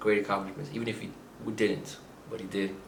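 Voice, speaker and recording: A man with a fairly low pitch and ordinary pitch variation talks amid noticeable background noise and audible room echo. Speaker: book reviewer. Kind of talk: casual video monologue. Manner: halting, many fillers.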